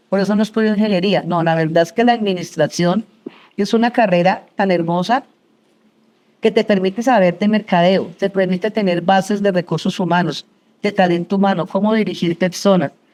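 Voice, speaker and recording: Her pitch is medium and her intonation fairly even. The woman keeps a fairly quick pace. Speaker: entrepreneur, business founder. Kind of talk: interview before live audience. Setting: university auditorium with audience. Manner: fast.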